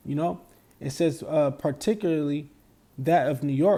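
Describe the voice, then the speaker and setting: A dark, mellow voice moves at a fairly slow pace with ordinary pitch variation. The recording is very clean, with a silent background. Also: man. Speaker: religious teacher. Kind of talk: religious commentary on news article. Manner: halting, repetitive fillers.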